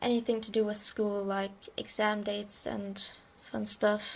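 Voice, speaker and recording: In a German accent, a woman talks at a fairly slow pace with a fairly high pitch. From Germany. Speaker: bullet journal creator. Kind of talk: casual craft tutorial narration.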